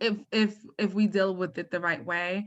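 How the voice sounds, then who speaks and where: In an American accent, a woman with a bright, sharp tone speaks at a fairly slow pace over a quiet background. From US Northeast, Harlem, New York City. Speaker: poet and author. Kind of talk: interview Q&A. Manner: halting, many fillers.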